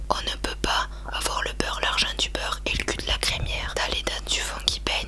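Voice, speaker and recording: Noticeable noise fills the background. Over it, a woman whispers fairly quickly. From France. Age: 20s. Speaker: ASMR YouTuber. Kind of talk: casual talk to camera, ASMR beer tasting. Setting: home, quiet room with room noise. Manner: playful, joking, informal.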